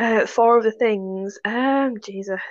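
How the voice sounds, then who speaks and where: A woman with a plain, everyday voice speaks at a fairly high pitch with ordinary pitch variation over a quiet background. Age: 30s. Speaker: novelist. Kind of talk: casual chat.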